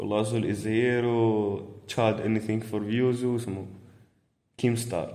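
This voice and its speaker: Audible room echo surrounds a man speaking at a moderate pace and medium pitch, in a monotone, flat intonation with a dark, mellow tone. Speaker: podcast co-host. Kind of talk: casual chat.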